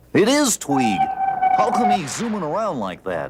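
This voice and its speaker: A man's high-pitched cartoonish character voice at a moderate pace. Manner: eager, exclamatory.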